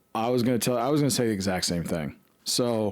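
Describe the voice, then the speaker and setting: In an American accent, a plain, everyday voice speaks at a moderate pace with ordinary pitch variation. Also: man. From Colorado (Fort Collins). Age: 40s. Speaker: podcast co-host. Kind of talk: casual chat.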